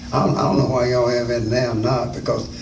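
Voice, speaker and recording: Against noticeable background noise and audible room echo, a man speaks at a medium pitch. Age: 70s. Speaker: interviewee, school alumnus. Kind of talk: oral history interview. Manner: halting.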